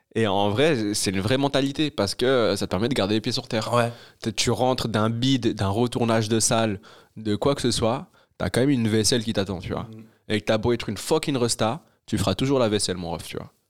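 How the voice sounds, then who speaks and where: In an ordinary speaking voice, a man talks at a medium pitch and a fairly quick pace with ordinary pitch variation, on a very clean recording with a silent background. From Brussels, Belgium. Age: young. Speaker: stand-up comedian. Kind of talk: casual chat.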